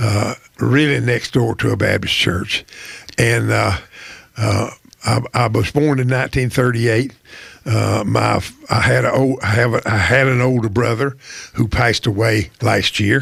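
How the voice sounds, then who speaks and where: A man speaks with an Appalachian accent, with very even loudness and long, frequent pauses. Noticeable background noise can be heard. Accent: Appalachian North Carolina Southern. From US South, Wilkes County, North Carolina. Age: 80s+. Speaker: retired poultry company personnel manager. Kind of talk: interview conversation. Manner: halting, many repetitions and fillers.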